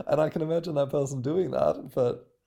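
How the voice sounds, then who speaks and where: A man with an Australian accent, at a moderate pace. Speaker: podcast co-host. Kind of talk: casual chat.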